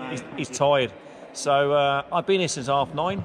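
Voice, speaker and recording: A man talks with ordinary pitch variation while noticeable noise sounds behind him. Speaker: cycling coach. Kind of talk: casual vlog chat. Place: hall. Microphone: phone near.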